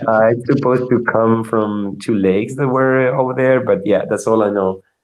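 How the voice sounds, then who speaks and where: A man with a Spanish accent speaks at a medium pitch and a moderate pace. His intonation is fairly even and his loudness very even. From Argentina. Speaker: software engineer. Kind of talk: interview. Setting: live video show. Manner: halting, many fillers and repetitions.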